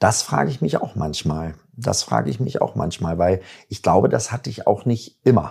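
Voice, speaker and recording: At a moderate pace, a man with a very deep, low pitch makes very wide pitch swings. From Germany, Bielefeld (Jöllenbeck). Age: 50s. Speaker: musician and agency owner. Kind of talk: casual interview.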